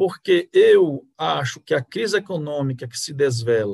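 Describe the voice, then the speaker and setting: Somewhat breathy, a man speaks at a fairly slow pace. His pitch is fairly high. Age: 50s. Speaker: jurist and lawyer. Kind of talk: political discussion. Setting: live video stream. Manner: formal.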